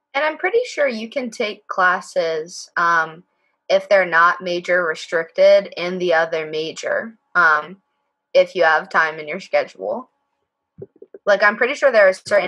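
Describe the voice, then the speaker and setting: A woman talks at a fairly slow pace against a quiet background. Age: 20s. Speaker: undergraduate mining engineering student; panelist. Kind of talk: Q&A panel at a virtual open house. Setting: video call. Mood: casual, slightly unsure. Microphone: video call.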